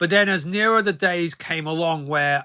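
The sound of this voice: Speaking at a moderate pace, a man has a bright, sharp tone.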